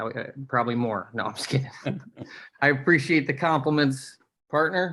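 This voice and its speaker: A man with a fairly high pitch and a bright, sharp tone speaks at a moderate pace, with ordinary pitch variation and long, frequent pauses. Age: 30s. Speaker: retired hockey player, podcast co-host. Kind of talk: casual chat. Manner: mumbling.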